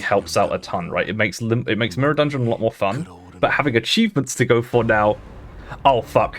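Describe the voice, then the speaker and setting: Music plays in the background. A man speaks at a fairly quick pace with a British accent. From Britain. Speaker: VTuber streamer. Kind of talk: casual gaming livestream. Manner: animated.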